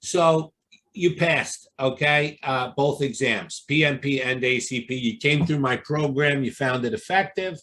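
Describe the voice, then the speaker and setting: A man talks in a Brooklyn accent. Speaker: exam prep coach. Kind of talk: interview. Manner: animated.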